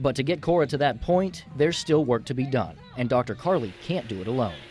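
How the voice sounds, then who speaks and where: A man's medium-pitched voice with lively intonation at a fairly quick pace, music playing in the background. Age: young. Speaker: TV news reporter. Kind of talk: TV news report.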